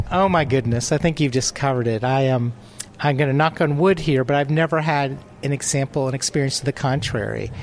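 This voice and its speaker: Against noticeable background noise, a man with a fairly high pitch speaks at a fairly quick pace, his intonation fairly even and his loudness very even. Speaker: travel writer. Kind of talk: interview at conference. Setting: conference showcase.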